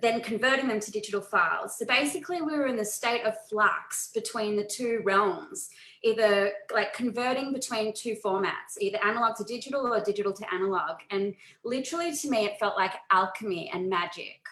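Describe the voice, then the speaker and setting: With an Australian accent, a woman talks at a fairly quick pace in a fairly high pitch with ordinary variation and a bright, sharp tone. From Australia, Melbourne. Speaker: photographer and photo organizing presenter. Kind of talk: webinar presentation. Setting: video call.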